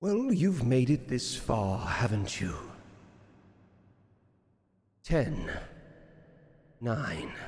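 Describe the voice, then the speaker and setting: Using a put-on character voice, a man speaks at a very slow pace and medium pitch, with long, frequent pauses and audible echo. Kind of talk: posh. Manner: cocky.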